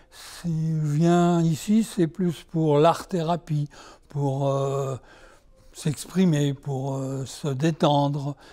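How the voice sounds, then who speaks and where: Intonation stays fairly even as the voice moves at a very slow pace. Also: man, fairly high pitch for a man. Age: 80s+. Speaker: amateur painter. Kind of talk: interview. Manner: hesitant.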